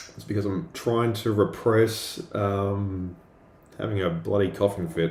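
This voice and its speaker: A man speaks at a fairly slow pace in a fairly low, somewhat breathy voice with ordinary pitch variation. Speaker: artist livestreamer. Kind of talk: casual livestream chat while drawing. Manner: hesitant, filler words.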